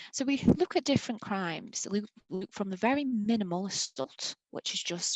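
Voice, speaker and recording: A woman speaks at medium pitch in an ordinary speaking voice, at a moderate pace with lively intonation. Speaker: college law teacher. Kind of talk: presentation to school pupils.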